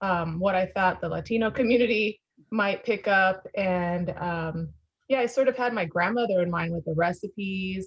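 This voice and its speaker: This voice is somewhat breathy. It belongs to a woman and sits at a medium pitch. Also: ordinary pitch variation, moderate pace. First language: Spanish. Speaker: former magazine founder and publisher. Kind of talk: interview. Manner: halting, many fillers.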